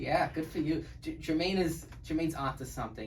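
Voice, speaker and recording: A man speaks at a fairly quick pace. Noticeable background noise and audible room echo surround him. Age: 20s. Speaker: podcast host, college student. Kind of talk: casual interview chat.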